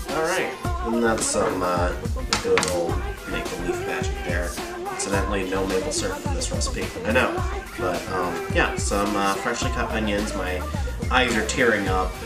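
Loud music plays in the background as a man talks at a moderate pace. He takes long, frequent pauses. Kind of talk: casual cooking tutorial. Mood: playful, joking. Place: kitchen.

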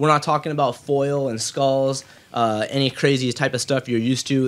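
Here a man speaks at a fairly quick pace. His intonation stays fairly even. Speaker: podcast host. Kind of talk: show intro announcement. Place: home room.

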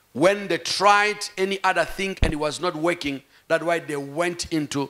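A man talks at a fairly slow pace in a high pitch, with ordinary pitch variation. The background is quiet. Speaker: pastor. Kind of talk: sermon. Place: church. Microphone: handheld.

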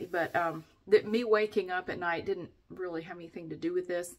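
The speaker is a woman, talking at a moderate speed with ordinary pitch variation. Nothing stirs behind her. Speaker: vlogger. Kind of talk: casual vlog chat. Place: bathroom. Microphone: phone near.

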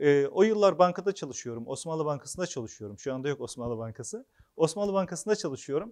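A man's pitch swings very widely as he talks over a quiet background. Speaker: author and former local official; speaker. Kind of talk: public talk. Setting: hall with live audience. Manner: hesitant, frequent filler sounds. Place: hall. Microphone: lapel.

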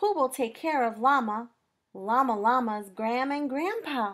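Against a quiet background, the speech moves at a fairly slow pace with lively, sing-song intonation. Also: woman. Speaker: children's librarian. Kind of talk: children's story time reading. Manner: expressive, sing-song, addressing young children. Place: home room. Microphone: webcam.

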